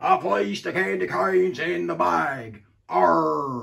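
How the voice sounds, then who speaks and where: A man's put-on character voice, fairly low in pitch and fairly slow in pace. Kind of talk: pirate talk.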